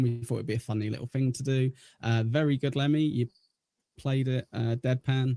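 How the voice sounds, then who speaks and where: Man with an English accent, dark and mellow tone, medium pitch, fairly even intonation, fairly quick pace, dry and close sound with no echo. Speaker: livestream host. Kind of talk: casual chat. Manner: hesitant, many filler words.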